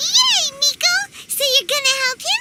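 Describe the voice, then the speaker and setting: Extremely high in pitch and squeaky, the voice is a put-on character voice. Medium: video game. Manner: excitable, casual.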